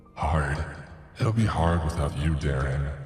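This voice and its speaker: A man's put-on character voice, very deep and low in pitch, at a moderate pace with a clear echo. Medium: read story. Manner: disjointed, echoing nonsense phrases.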